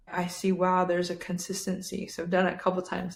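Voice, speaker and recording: Very fast pace and a somewhat breathy sound. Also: woman. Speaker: podcast host. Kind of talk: casual chat.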